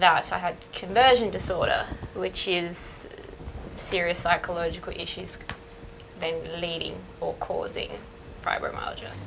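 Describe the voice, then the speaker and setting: A woman's fairly slow speech with long, frequent pauses and big swings in loudness, over noticeable background noise. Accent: Australian. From Australia. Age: young. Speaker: woman with fibromyalgia. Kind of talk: testimony.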